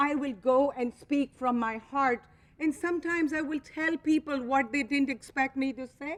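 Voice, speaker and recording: A woman with a non-native accent speaks at a high pitch with ordinary pitch variation. Her pace is moderate. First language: not English. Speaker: company co-founder speaking to franchise owners. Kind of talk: motivational speech. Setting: convention stage with audience. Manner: animated.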